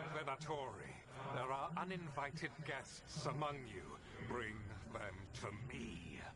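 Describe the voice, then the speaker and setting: A man puts on a character voice with fairly high pitch. He goes at a fairly slow pace amid loud background noise. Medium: machinima. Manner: grandiose, commanding.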